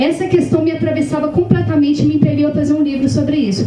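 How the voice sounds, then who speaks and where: A woman with a Minas Gerais accent and lively intonation, amid audible room echo and noticeable background noise. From Minas Gerais, Brazil. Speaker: author. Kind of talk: panel discussion. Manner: hesitant, many fillers.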